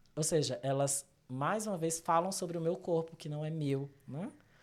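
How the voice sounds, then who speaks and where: With lively intonation, a man in a Brazilian accent speaks at a moderate pace. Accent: non-São Paulo regional accent, noticeable. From Brazil, interior of Pernambuco. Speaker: psychologist. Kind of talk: interview conversation. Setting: video podcast recording.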